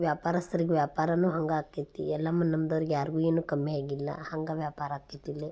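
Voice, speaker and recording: A woman's dark, mellow tone at a fairly low pitch. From northern Karnataka, near Saundatti (Belagavi district). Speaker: vlogger, mother. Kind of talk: travel vlog narration. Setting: outdoors, traveling. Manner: conversational, informal.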